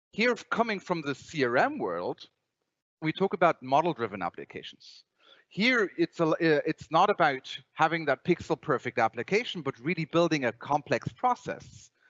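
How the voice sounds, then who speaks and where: A man with a Bavarian accent talks at a high pitch and moderate pace, his pitch swinging very widely. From Germany, Bavaria. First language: German. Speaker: software company presenter. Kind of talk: conference presentation. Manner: halting, many repetitions.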